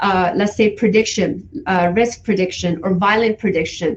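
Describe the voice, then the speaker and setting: With a non-native accent, a woman speaks at a fairly slow pace in a somewhat breathy voice. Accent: foreign. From Iran. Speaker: forensic psychology educator. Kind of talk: guest talk.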